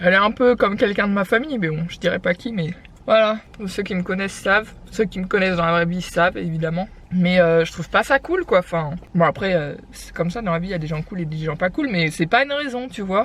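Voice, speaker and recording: A woman talks fairly quickly in a somewhat breathy voice with ordinary pitch variation. Her loudness swings widely. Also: medium pitch for a woman. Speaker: lifestyle vlogger. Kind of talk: casual vlog chat. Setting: in a car. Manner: fast.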